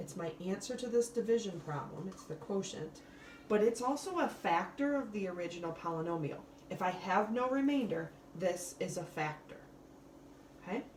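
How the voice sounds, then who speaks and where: A woman with lively intonation, audible room echo and noticeable background noise. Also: medium pitch for a woman, moderate pace. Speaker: math teacher. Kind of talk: recorded lesson tutorial.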